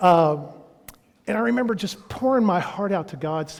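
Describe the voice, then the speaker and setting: A man with a Texan accent speaks in an animated tone. His pitch swings very widely. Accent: Texan American. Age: 60s. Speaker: pastor. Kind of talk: sermon.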